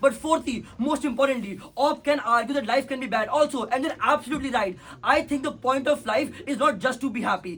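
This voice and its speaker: Over noticeable background noise, a man speaks loud and fairly quick at an extremely high pitch, with ordinary pitch variation. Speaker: competitive debater. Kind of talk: competitive debate speech; casual chat.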